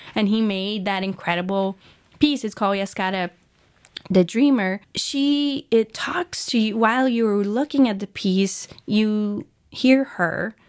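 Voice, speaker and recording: A woman with a Portuguese accent speaks at a fairly slow pace in a fairly high voice, her pitch moving in an ordinary way. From Brazil, São Paulo. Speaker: museum curator. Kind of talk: interview. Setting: radio studio.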